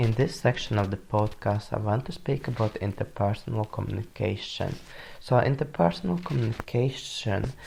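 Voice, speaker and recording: With a non-native accent, a man speaks at medium pitch in a dark, mellow tone, somewhat breathy, with lively intonation. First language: not English. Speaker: university student. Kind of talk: student podcast presentation. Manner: some hesitations and self-corrections.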